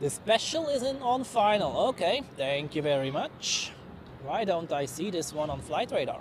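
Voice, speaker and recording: Over noticeable background noise, a man with a high voice talks at a fairly slow pace, his pitch swinging very widely. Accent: Swiss German. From Switzerland. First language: Swiss German. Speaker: plane spotting livestreamer. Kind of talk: live commentary. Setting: outdoors. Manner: casual, chatty.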